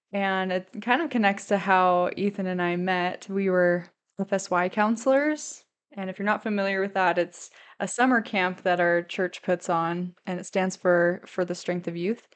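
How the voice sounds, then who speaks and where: The speaker talks at a moderate pace with an American accent and fairly even intonation. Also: woman, medium pitch for a woman, quiet background. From US Midwest, St. Louis, Missouri. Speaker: student and podcaster. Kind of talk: pre-recorded introduction. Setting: pre-recorded separately.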